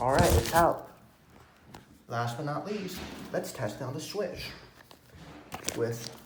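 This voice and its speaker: With a very slow pace and long, frequent pauses, a man talks in a fairly high voice with lively intonation. Room echo is audible, and there is noticeable background noise. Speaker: tech unboxing youtuber. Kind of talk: unboxing video.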